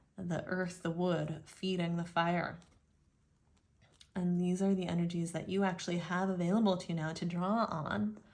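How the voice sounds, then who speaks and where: A woman speaks in a fairly low voice with fairly even intonation. Some room echo can be heard. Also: moderate pace. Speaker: tarot reader. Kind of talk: tarot reading monologue.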